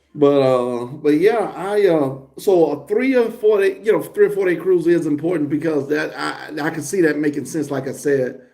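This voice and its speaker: Audible room echo surrounds a man whose dark, mellow tone carries lively intonation. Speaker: family vlogger doing a live stream. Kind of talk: casual chat. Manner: loud.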